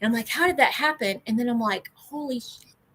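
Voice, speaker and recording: A woman's high-pitched voice, bright and sharp in tone, at a moderate pace. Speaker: ADHD channel co-host. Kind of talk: casual livestream chat.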